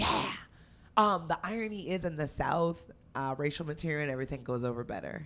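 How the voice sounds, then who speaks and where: A woman with an American accent speaks in a very deep, low pitch. Her pace is fairly quick and her intonation lively. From New Jersey (Union). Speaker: stand-up comedian. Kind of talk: casual interview chat.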